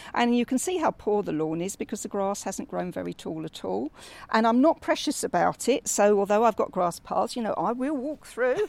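A woman with a fairly high pitch talks at a moderate pace, her voice making very wide pitch swings. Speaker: home gardener. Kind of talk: interview. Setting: outdoors.

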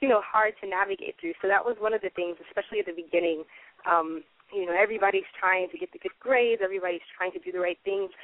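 At a very fast pace, a woman with an American accent speaks at medium pitch with ordinary pitch variation. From US South, Atlanta. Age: 20s. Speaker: novelist. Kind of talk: interview.

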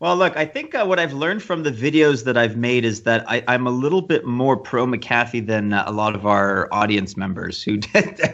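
At a moderate pace with hardly any pauses, a man with a Canadian accent and a normal speaking voice talks at medium pitch with lively intonation. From Canada. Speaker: podcast co-host. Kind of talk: casual chat.

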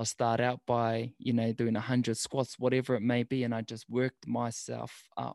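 A man's monotone, flat delivery at a moderate pace with hardly any pauses, in a dry, close sound with no echo. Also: medium pitch for a man. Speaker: food truck owner and podcaster. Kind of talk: casual interview.

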